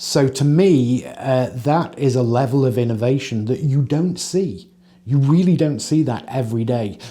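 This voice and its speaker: A man with an English accent speaks at a moderate pace with very even loudness and ordinary pitch variation. His voice sits at a medium pitch and has a dark, mellow tone. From England. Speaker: company employee, former games industry worker. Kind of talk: documentary interview.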